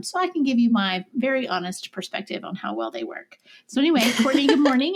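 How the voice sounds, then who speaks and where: A woman with a slight Southern US accent at a very fast pace. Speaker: podcast co-host. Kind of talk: casual chat.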